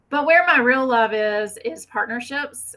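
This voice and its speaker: A woman with a Southern US accent speaks in a bright, sharp tone with ordinary pitch variation. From US South. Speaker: fire ecology researcher. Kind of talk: conference presentation.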